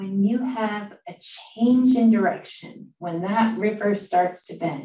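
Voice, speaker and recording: Talking at a very slow pace, a woman sounds somewhat breathy, with ordinary pitch variation and audible room echo. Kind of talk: lecture. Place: office. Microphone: webcam.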